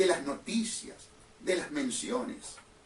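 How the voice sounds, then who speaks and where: The voice belongs to a man with a Uruguayan accent. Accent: Uruguayan Rioplatense Spanish. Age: 60s. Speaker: lawyer and political candidate hosting a radio show. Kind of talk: political radio monologue. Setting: radio broadcast streamed on social media. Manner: impassioned, emphatic.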